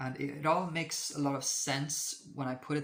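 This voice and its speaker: Speaking with a non-native accent, a man uses a fairly high pitch and fairly even intonation. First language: not English. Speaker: astrology video creator. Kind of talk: casual monologue to camera. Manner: halting, many fillers and restarts.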